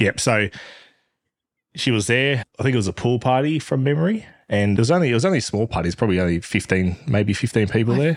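Speaking at a fairly quick pace with lively intonation, a man with an Australian accent holds a very even loudness. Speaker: podcast guest, host's partner.

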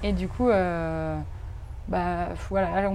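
A woman speaks with audible echo from the room. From France. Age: 20s. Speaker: tattoo artist and illustrator. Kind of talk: casual interview. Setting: outdoor garden. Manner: halting.

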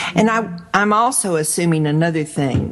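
Against noticeable background noise, a woman talks at a very slow pace with very wide pitch swings. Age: 50s. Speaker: radio host and life coach. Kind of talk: radio interview.

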